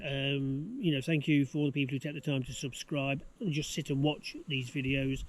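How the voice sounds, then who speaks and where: Talking at a fairly quick pace with an English accent, a man keeps a fairly high pitch and fairly even intonation. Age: 60s. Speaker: home renovation vlogger. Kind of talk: casual chat. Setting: outdoors. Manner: halting.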